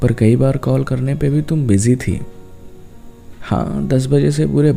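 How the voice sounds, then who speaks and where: A soft-spoken man talks in a gentle tone. Music plays in the background. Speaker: voiceover artist and writer. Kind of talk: emotional love-talk monologue, relaxing spoken-word. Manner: soft, gentle, intimate, heartfelt.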